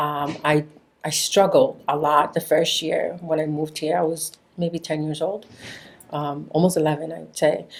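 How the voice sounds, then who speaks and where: A woman speaks at a moderate pace in a very deep, low voice. Her intonation stays flat and monotone. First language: Spanish. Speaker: podcast guest. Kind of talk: interview conversation.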